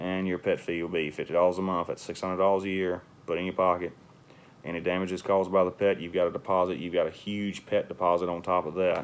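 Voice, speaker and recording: A man's very deep, low voice in a flat monotone at a very fast pace. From US South. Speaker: real estate investor and landlord. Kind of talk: casual tutorial. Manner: casual, halting with fillers. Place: home room. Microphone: phone near.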